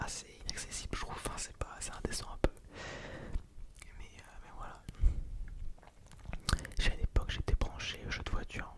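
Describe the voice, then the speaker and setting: Whispering in a relaxed tone at a moderate pace, a man leaves long, frequent pauses, his loudness swinging widely over noticeable background noise. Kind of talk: ASMR whispered storytelling of personal anecdotes. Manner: whispered, soft-spoken, relaxed; casual, rambling, conversational.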